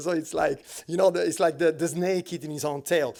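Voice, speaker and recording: A man with an Italian accent talks at a very fast pace in a fairly high pitch. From Italy. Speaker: designer. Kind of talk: panel talk. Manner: animated.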